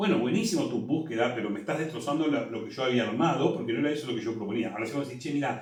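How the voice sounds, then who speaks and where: A man with a Rioplatense accent speaks at a fairly high pitch with lively intonation, with audible room echo and noticeable background noise. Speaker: musical theatre director. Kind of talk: interview.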